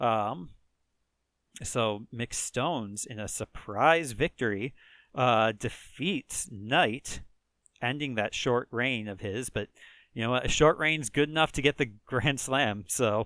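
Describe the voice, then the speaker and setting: Speaking in a Chicago accent at a very slow pace, a man with a medium pitch, ordinary pitch variation and a bright, sharp tone is heard in a very clean recording with a silent background and a dry, close sound with no echo. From rural Chicago area, US Midwest. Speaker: gaming video creator. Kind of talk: let's play commentary. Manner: casual, many fillers (um, uh).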